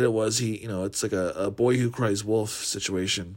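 A man talks at a moderate pace with a fairly low pitch and ordinary pitch variation. He has an unremarkable speaking voice. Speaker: podcast co-host. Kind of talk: recorded review monologue.

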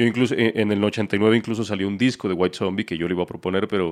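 Fairly quick pace and fairly even intonation against a quiet background. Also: man. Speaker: podcast co-host. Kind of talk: casual chat. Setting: online call.

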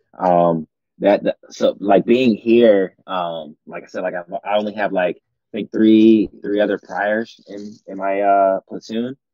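A plain, everyday voice from a man, fairly low in pitch, fairly slow with hardly any pauses, fairly even in intonation but with big swings in loudness. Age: 30s. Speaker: Marine officer. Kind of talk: casual chat.

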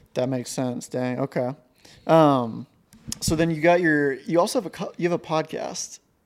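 A man with a normal speaking voice and an American accent, fairly high in pitch, with ordinary pitch variation at a moderate pace, on a very clean recording with a silent background. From southeast Montana. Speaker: podcast host. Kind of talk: casual chat.

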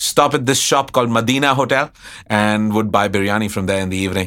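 Bright, sharp male speech with ordinary pitch movement. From India, Allahabad, Uttar Pradesh. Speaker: chef and restaurant owner. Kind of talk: interview conversation.

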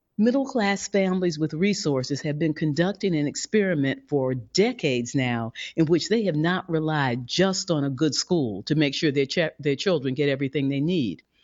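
Her pitch very deep and low, a woman speaks at a moderate pace with lively intonation and hardly any pauses. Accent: American. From US Midwest (St. Louis, Missouri). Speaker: founder of a policy advocacy organization. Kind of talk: interview.

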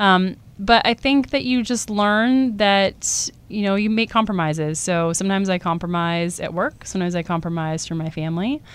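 With a Californian accent, a woman speaks at a moderate pace and medium pitch with ordinary pitch variation and hardly any pauses, in a very clean recording with a silent background. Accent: General American (Californian). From Southern California (Coronado, San Diego). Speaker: surgeon and research scientist. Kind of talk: interview. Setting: podcast studio.

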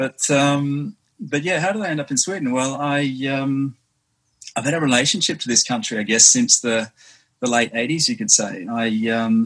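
His pitch shifts in an ordinary way. The man keeps a fairly quick pace. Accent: Australian. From Western Australia, Perth. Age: 50s. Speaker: swim runner, marine biologist. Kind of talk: casual interview. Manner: halting, many fillers.

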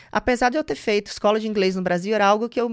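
Over a silent background on a very clean recording, a woman speaks at a fairly high pitch with lively intonation. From Bahia, Brazil (Salvador / interior). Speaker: finance entrepreneur. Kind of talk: interview conversation. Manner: animated.

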